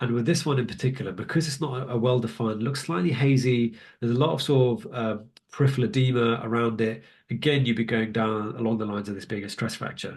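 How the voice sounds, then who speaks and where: Somewhat breathy, a man with a British accent speaks at a very fast pace amid audible room echo. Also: medium pitch for a man, ordinary pitch variation. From UK. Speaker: radiologist teaching a webinar. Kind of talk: online lecture with live Q&A. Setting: live webinar. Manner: casual, many filler ums.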